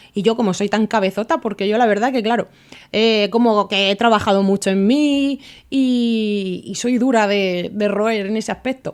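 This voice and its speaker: On a very clean recording with a silent background, a woman speaks at a fairly high pitch. Her pace is moderate and her intonation fairly even. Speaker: podcast host. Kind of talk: solo podcast monologue.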